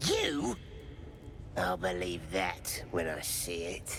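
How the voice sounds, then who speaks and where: A man puts on a character voice with a very deep, low pitch. He talks at a very slow pace over loud background noise. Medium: game stream. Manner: curt, irritable.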